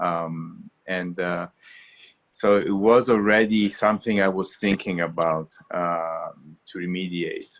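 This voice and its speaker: With an Italian accent, a man speaks very slowly in a very deep, low voice, keeping his intonation fairly even. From Italy. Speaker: water filtration company founder. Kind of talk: webinar interview. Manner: halting, many fillers.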